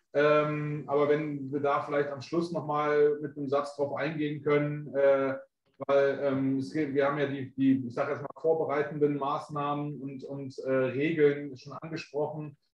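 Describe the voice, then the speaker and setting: A man talks in a flat monotone at a fairly high pitch and a fairly slow pace, with big swings in loudness. Audible room echo and light background noise are present. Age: young. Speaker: webinar co-host and moderator; webinar co-host, moderator. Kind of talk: webinar moderation. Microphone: video call.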